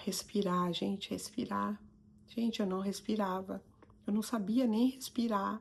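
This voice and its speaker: A woman's somewhat breathy voice at a fairly slow pace, with fairly even intonation. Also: medium pitch for a woman. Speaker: psychoanalyst and coach. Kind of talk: motivational talk to camera.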